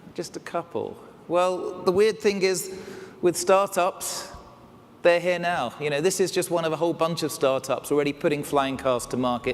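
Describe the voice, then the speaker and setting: Against noticeable background noise, a man with an English accent and a high pitch speaks at a moderate pace with ordinary pitch variation. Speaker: keynote speaker. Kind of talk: keynote talk. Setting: stage with audience.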